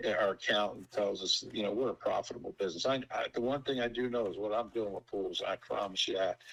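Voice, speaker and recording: A man talking at a very fast pace with hardly any pauses. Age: 60s. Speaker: pool company owner. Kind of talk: business discovery call.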